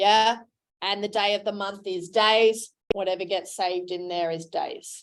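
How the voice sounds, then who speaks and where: A woman's animated voice at a fairly slow pace, on a very clean recording with a silent background. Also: medium pitch for a woman. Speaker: teacher. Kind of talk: classroom lecture. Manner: loud.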